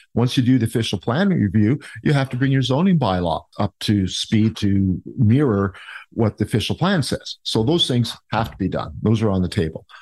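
A plain, everyday voice: a man with a Canadian accent, medium pitch, lively intonation, very even loudness and a moderate pace, against a quiet background. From Ontario, Canada (Niagara Falls). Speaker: mayoral candidate. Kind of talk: interview.

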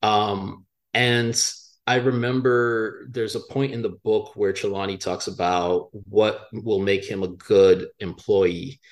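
A man speaks at a very slow pace with fairly even intonation. The recording is very clean, with a silent background. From Miami, Florida. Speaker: author. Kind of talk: interview. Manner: halting, frequent fillers.

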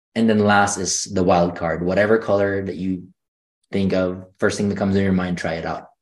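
In a quiet background, a man speaks with a very deep, low pitch. His intonation is monotone and flat, at a moderate pace. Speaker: energy healer. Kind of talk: guided meditation.

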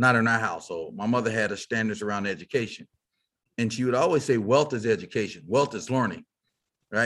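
An American accent marks this man's very fast speech, with a medium pitch and ordinary pitch variation. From Texas, Fort Worth. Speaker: business leader and keynote speaker. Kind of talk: interview.

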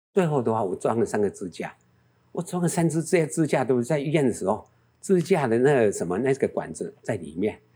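A man with a fairly high pitch and a dark, mellow tone talks at a fairly quick pace with very wide pitch swings and vocal fry, in a very clean recording with a silent background. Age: 70s. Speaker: travel business owner. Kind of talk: interview. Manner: animated.

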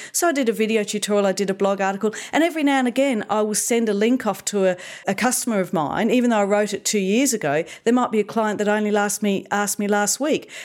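Speaking very fast with an Australian accent, a woman keeps very even loudness and ordinary pitch variation. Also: medium pitch for a woman. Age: 50s. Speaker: digital marketing consultant. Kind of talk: interview. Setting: studio.

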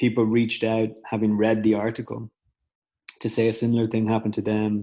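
This is a man speaking. He has a Dublin accent. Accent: Irish (Dublin). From Ireland, Dublin. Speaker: startup founder, former photographer. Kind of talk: casual interview. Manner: halting, many fillers.

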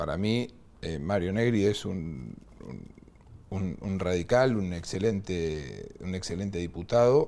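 In a very deep, low pitch and a dark, mellow tone, a man speaks at a very slow pace with ordinary pitch variation. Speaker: politician. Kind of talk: interview. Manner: halting.

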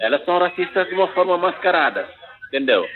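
With music playing in the background, a man speaks with ordinary pitch variation. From Senegal, Dakar. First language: not Portuguese (speaking Portuguese). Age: 30s. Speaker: immigrant activist and filmmaker. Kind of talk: interview. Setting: phone call. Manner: halting. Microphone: poor phone audio.

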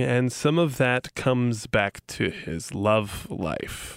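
In a dry, close recording with no echo, a man with a plain, everyday voice speaks at a medium pitch with lively intonation. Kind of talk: casual storytelling chat. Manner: relaxed, conversational.

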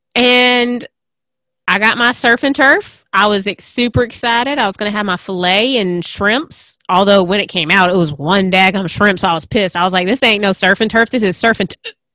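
At a moderate pace, a woman speaks in a medium pitch with ordinary pitch variation and an animated, bright, sharp tone. The recording is very clean, with a silent background. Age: 30s. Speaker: podcast host. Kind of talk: casual interview chat.

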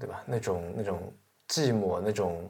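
A somewhat breathy, fairly low-pitched male voice. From China. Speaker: podcast host. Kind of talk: casual monologue about books. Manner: many filler sounds.

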